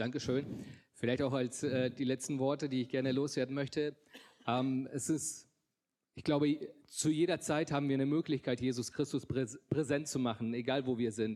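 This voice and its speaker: On a very clean recording with a silent background, a man talks at a moderate pace in a medium-pitched voice with a dark, mellow tone and fairly even intonation. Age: 30s. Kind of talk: testimony. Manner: halting, many filler sounds.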